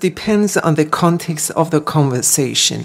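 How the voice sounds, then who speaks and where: The speaker talks with a Persian accent. Noticeable background noise is present. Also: woman. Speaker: singer and Baha'i guest. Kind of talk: radio interview.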